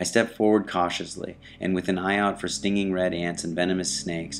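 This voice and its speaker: Over music in the background, a man with a very deep, low voice speaks with fairly even intonation. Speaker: author. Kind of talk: first-person true story narration.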